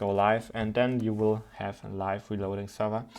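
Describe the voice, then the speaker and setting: In a quiet background, a man with a non-native accent and a fairly low pitch speaks at a fairly quick pace, his tone dark and mellow and his intonation monotone and flat. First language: not English. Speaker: programming tutor. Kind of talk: tutorial. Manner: halting.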